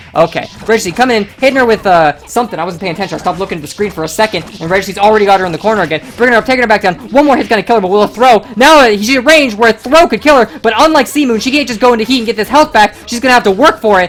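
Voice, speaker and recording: A woman talks at a very fast pace with hardly any pauses, in a fairly high pitch with lively intonation. Noticeable background noise runs underneath. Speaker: fighting game tournament commentator. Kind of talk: live commentary. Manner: animated.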